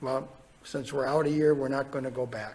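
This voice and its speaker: A somewhat breathy man's voice with an American accent. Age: 60s. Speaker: state legislator. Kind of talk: legislative testimony. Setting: committee hearing. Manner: halting.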